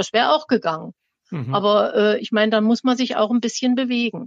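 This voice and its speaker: Heard dry and close with no echo, a woman with a plain, everyday voice speaks at a fairly high pitch and a moderate pace. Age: 60s. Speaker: retired teacher. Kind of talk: personal testimony.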